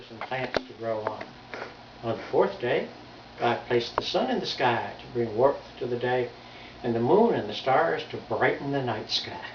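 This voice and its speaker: A man speaks at a medium pitch and a moderate pace. Audible room echo and noticeable background noise fill the recording. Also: ordinary pitch variation. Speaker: grandfather. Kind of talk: reading aloud.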